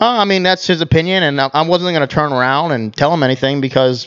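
A man speaks in a plain, everyday voice at a fairly quick pace, with fairly high pitch, ordinary pitch variation, and a quiet background. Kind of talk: casual banter among friends.

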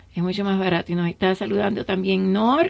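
A woman speaks at a fairly quick pace in a medium pitch. Vocal fry runs through her voice. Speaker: radio host. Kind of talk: radio talk show with guests and callers. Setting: radio studio.

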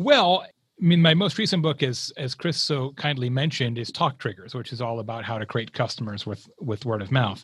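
In a very clean recording with a silent background, a man with an American accent speaks at a moderate pace in a medium, somewhat breathy voice, with lively intonation and hardly any pauses. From Arizona, US Southwest. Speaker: marketing keynote speaker and author. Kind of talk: casual interview.

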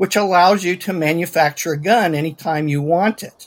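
The speaker talks at a moderate pace with ordinary pitch variation. It is an unremarkable speaking voice. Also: man. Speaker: science fiction author. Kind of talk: panel discussion.

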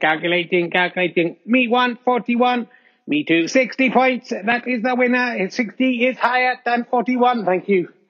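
A put-on, robotic character voice. It moves at a very slow pace. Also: man, extremely high pitch for a man. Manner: robotic, flat.

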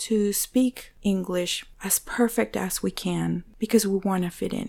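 Speaking fairly slowly in a Spanish accent, a woman keeps a monotone, flat intonation at a medium pitch. The recording is very clean, with a silent background. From Venezuela. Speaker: church ministry assistant. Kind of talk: interview.

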